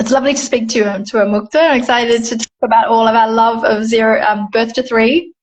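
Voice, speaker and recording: Hardly pausing at all, a woman with an Australian accent talks at a very fast pace, her pitch fairly high and her intonation fairly even. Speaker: Montessori educator. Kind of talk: casual chat.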